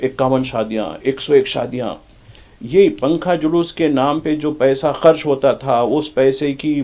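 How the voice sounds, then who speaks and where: Music plays behind a man who speaks with ordinary pitch variation. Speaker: journalist, studio expert. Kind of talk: TV panel discussion. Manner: animated, interrupting.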